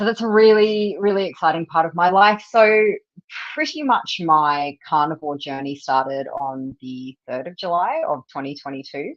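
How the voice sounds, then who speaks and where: Speaking at a moderate pace with an Australian accent, a woman uses a fairly low pitch, lively intonation and big swings in loudness. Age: 40s. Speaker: carnivore diet advocate, nutrition student. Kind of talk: casual livestream interview. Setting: livestream video call.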